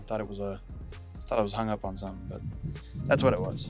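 Faint music plays in the background as a man talks in a dry recording with no echo. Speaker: fishing vlogger. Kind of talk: casual vlog chat. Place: waterside. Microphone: phone near.

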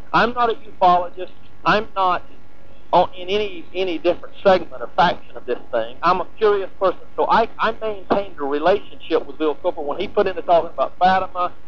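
Against noticeable background noise, a man talks at a fairly quick pace with a high pitch and ordinary pitch variation. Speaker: former tabloid reporter. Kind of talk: archival interview. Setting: phone call.

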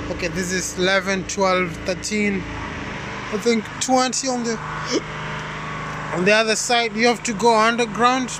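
A raised, projected voice carries ordinary pitch variation. The sound is dry with no echo, and there is noticeable background noise. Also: man. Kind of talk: casual vlog chat. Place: station. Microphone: phone near.

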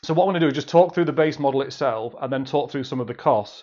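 A man at a very fast pace, fairly even intonation, quiet background. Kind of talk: sales update talk to camera. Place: office. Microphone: phone near.

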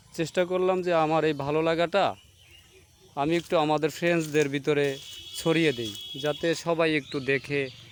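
A man speaks at a fairly high pitch with fairly even intonation. There is noticeable background noise. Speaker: video blogger. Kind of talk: vlog narration.

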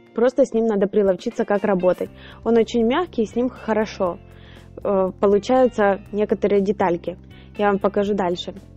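The woman's intonation stays fairly even, broken by long, frequent pauses. The sound is dry with no echo, with faint music in the background. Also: moderate pace. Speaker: home baker reviewing a purchase. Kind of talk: tutorial and product review. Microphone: phone near.

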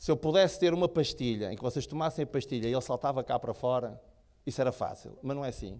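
The speaker sounds animated, talking at a very fast pace with ordinary pitch variation. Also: man. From Portugal. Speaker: motivational speaker. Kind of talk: motivational talk. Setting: stage with audience. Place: hall. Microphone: handheld.

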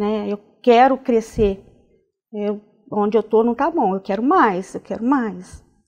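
A woman's fairly high voice with lively intonation, a fairly slow pace and a quiet background. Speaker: nurse; interview guest. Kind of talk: interview. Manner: halting, many fillers. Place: studio. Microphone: lapel.

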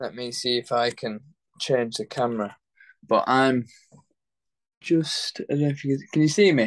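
Against a quiet background, a man speaks with a Yorkshire accent. His pitch varies in an ordinary way. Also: moderate pace. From northern England, Leeds; northern England. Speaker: professional boxer; interviewee. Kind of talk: interview.

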